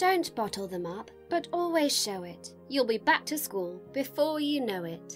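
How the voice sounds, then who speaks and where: Over music in the background, a woman with a British accent speaks in a warm, gentle tone at a fairly slow pace, with very wide pitch swings, big swings in loudness and hardly any pauses. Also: medium pitch for a woman. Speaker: voice over artist and actress. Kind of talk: children's picture book reading, CBeebies style. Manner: warm, gentle, storytelling.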